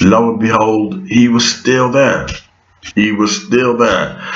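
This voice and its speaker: A man with a fairly low pitch speaks at a fairly slow pace, with audible room echo and noticeable background noise. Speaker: vlogger. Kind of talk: monologue vlog. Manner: halting, many fillers.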